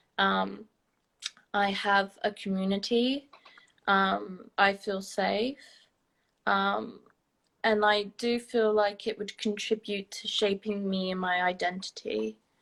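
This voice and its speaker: In a British accent, a woman speaks at a medium pitch in a monotone, flat intonation, very slowly and with long, frequent pauses. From England. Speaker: university student and model. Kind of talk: interview. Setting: livestream video call.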